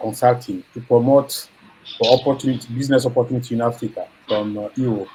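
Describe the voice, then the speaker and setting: A man speaks fairly quickly in a monotone, flat delivery at a medium pitch. His tone is dark and mellow, and somewhat breathy. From Gabon. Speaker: business affiliate. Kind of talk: personal introduction in group call. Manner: halting.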